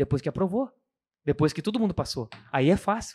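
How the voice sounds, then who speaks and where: His pitch is high and swings very widely. The man talks at a fairly quick pace. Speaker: occupational safety technician. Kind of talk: casual chat.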